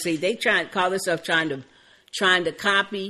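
Her bright, sharp tone sits at a medium pitch for a woman. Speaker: TV show recap podcast co-host. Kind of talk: casual chat.

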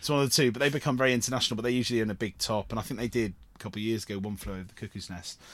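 Very fast talk in a Cornish accent, with hardly any pauses and ordinary pitch variation. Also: man, medium pitch for a man. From Cornwall. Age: 30s. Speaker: actor and theatre producer. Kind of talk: casual interview chat.

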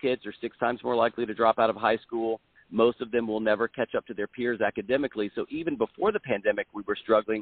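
Talking at a very fast pace with hardly any pauses, a man speaks at a medium pitch. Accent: American. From South Carolina. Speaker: school board candidate, former lawyer and teacher. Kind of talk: interview.

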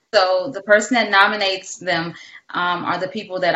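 A woman with a normal speaking voice talks at a medium pitch. Her pace is moderate and her intonation fairly even. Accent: American. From Detroit, US. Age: 40s. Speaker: caregiver and nonprofit founder. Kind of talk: interview.

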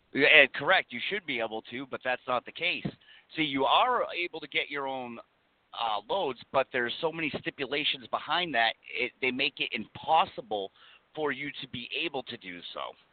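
A man with a fairly high pitch and an ordinary speaking voice talks at a moderate pace with lively intonation. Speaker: truck driver plaintiff. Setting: phone call.

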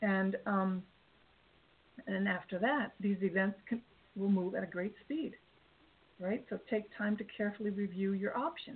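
A woman speaks at a medium pitch and a moderate pace. Her pitch varies in an ordinary way, and she takes long, frequent pauses. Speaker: angel card reader and life coach. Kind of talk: radio show with card readings. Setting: internet radio with callers by phone. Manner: soft-spoken, calm.

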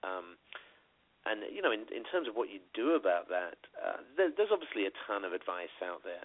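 This man has a British accent. He talks at a fairly quick pace. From Britain. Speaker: radio co-host. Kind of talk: casual chat. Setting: phone call.

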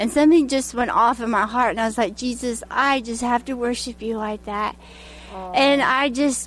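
Against noticeable background noise, a woman with an American accent talks in a fairly high pitch and fairly even intonation. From Arkansas. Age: 40s. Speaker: prophetic dancer. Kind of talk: interview testimony.

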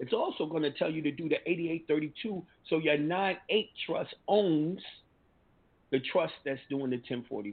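A man talks in a normal speaking voice at a fairly high pitch. His pace is fairly slow, with ordinary pitch variation. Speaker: call-in show host. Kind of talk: call-in Q&A. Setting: studio. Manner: casual, slangy.

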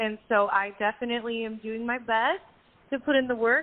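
A woman speaks at a fairly high pitch in a plain, everyday voice. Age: 30s. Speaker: singer-songwriter. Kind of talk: casual interview chat. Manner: upbeat.

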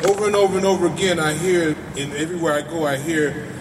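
Noticeable background noise behind a man with a high pitch, a fairly quick pace and ordinary pitch variation. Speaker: community activist. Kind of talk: speech at a rally. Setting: outdoors in front of a crowd. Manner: animated.

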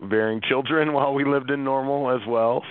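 In an American accent, a man speaks with ordinary pitch variation. The sound is dry and close, with no echo.

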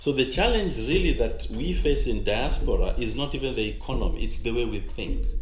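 The speech moves at a moderate pace with audible room echo. Background noise is noticeable. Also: man. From Kenya. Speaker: pastor. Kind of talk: radio talk show with preaching. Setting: studio.

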